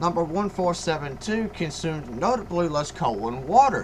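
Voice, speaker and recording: Over noticeable background noise, a man speaks at a moderate pace with a high pitch and lively intonation. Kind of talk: history narration. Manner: stuttering at times.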